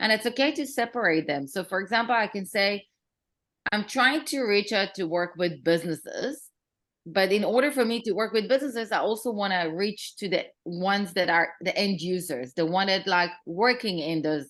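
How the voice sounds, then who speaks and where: Against a quiet background, a woman with a non-native accent speaks at a medium pitch and a moderate pace with lively intonation. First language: not English. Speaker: marketing consultant and workshop speaker. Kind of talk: workshop presentation. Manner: casual, many fillers.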